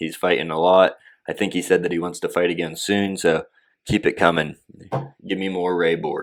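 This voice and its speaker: In a put-on character voice, a man speaks with a raspy, very deep, low pitch at a moderate pace, leaving long, frequent pauses. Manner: rapid, enthusiastic.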